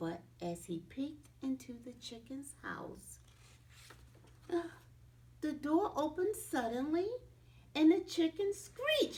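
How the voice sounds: Speaking slowly with long, frequent pauses, a woman uses a high pitch, big pitch swings and a slightly mellow tone.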